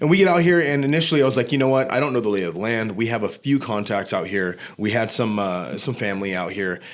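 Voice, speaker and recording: A man with an American accent talks at a very fast pace, with hardly any pauses. His intonation is lively. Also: medium pitch for a man. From Southern California. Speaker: gym manager and fitness business owner. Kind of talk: casual podcast interview. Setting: studio.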